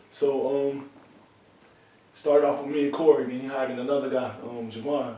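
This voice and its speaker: In audible room echo and noticeable background noise, a man with an American accent talks at a fairly high pitch, with long, frequent pauses and big swings in loudness. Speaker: brewery worker, former gang member. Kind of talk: casual interview conversation. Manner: fast, words run together; animated.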